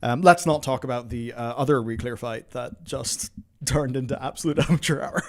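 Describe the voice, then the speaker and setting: With lively intonation and vocal fry, a man talks at a medium pitch and a fairly quick pace. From Northern Ireland. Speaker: gaming streamer. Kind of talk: casual chat. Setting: live stream. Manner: animated.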